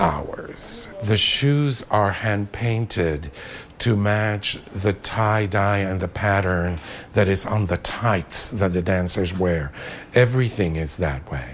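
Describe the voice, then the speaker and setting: Light background noise sits behind a man with a fairly low pitch. He talks at a very slow pace with ordinary pitch variation. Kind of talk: interview answer. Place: workshop.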